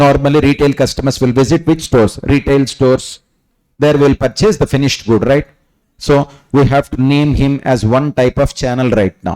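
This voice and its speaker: A man's fairly high yet dark, mellow voice at a moderate pace, with fairly even intonation, very even loudness and a dry, close sound with no echo. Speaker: CA exam coaching teacher. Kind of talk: lecture.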